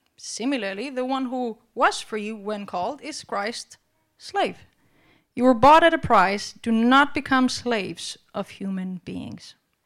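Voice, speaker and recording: A woman's fairly high voice, very slow in pace, with lively intonation and big swings in loudness. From Albania. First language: Albanian (speaking Danish). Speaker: preacher. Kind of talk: sermon.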